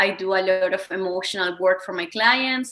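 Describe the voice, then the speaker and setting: Speaking at a moderate pace, a woman uses a medium pitch with ordinary pitch variation and a bright, sharp tone. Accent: Spanish. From Venezuela. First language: Spanish. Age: 30s. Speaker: wellness coach. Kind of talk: interview.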